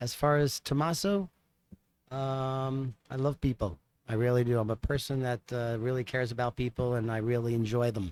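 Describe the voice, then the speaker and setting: The sound is dry and close with no echo. A man with a slight New York accent talks at a moderate pace and medium pitch. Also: ordinary pitch variation. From US Northeast. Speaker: magician. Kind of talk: interview.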